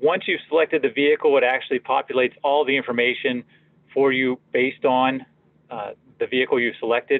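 A monotone, flat delivery in an American accent, with a dry sound and no echo. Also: man, fairly quick pace. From Pittsburgh, Pennsylvania. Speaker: product marketing manager; presenter. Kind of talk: software demo tutorial. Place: office. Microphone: webcam.

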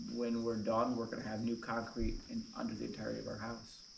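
A fairly quick-talking man amid noticeable background noise. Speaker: homeowner woodworking vlogger. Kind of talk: casual vlog chat. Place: open country.

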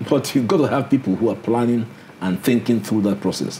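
A man delivers his words fairly quickly while light background noise sits behind him. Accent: Nigerian. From Nigeria. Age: 70s. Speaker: senior lawyer. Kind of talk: interview. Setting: studio. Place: office.

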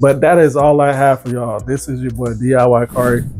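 A man speaks with fairly even intonation. There is light noise in the background. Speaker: sneaker vlogger. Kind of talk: casual vlog chat. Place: home room.

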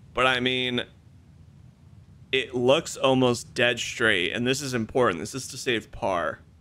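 A man with a medium pitch and vocal fry talks at a fairly slow pace in a bright, sharp tone, with ordinary pitch variation, big swings in loudness, and long, frequent pauses. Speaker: gaming streamer. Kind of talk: gameplay commentary. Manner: casual, animated.

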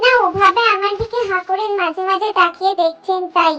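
A woman uses a put-on character voice with an extremely high pitch. She keeps a moderate pace and fairly even intonation. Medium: read story. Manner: calm, polite formal speech.

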